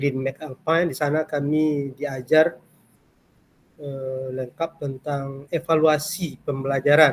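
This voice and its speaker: Very slowly and in a flat monotone, a man speaks at a fairly high pitch. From Kampar, Riau, Indonesia. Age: 50s. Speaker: university lecturer. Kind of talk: lecture. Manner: hesitant with fillers.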